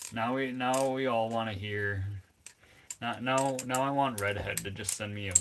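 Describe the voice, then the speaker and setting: A speaker with an American accent talks at a fairly slow pace. Noticeable background noise runs under the voice. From Minnesota. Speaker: livestreamer. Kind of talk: casual chat.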